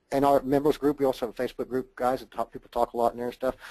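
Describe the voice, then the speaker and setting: The voice comes with a Southern US accent. The sound is dry and close, with no echo. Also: man. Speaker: online marketer presenting a product. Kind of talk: webinar sales pitch. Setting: webinar. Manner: fast; animated.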